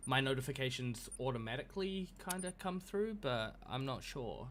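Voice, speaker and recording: With a New Zealand accent, a man talks at a medium pitch and with lively intonation. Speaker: video game streamer. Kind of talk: casual live-stream commentary. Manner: hesitant, many fillers.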